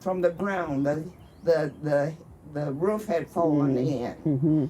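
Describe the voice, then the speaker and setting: Someone with a Texas accent talks at a fairly slow pace over noticeable background noise. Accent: Southern US, Texas. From Austin, Texas area. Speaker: community elder, oral history storyteller. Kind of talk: oral history conversation on stage.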